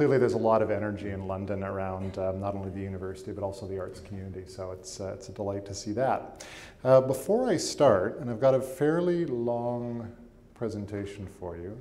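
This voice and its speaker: A dark, mellow voice with a Canadian accent moves at a fairly quick pace, its loudness swinging widely. Audible room echo fills the space. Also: man. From Canada, Winnipeg. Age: 30s. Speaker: arts institution president. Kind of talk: public lecture.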